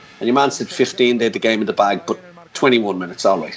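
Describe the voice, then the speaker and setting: Against noticeable background noise, a man talks with an Irish accent. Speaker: handball commentator. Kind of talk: casual chat. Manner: fast; animated.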